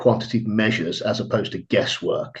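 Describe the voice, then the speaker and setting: The speaker has an English accent and a fairly even intonation. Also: man. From England. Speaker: trading firm staff, former fitness business owner. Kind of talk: webinar self-introduction. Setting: online webinar.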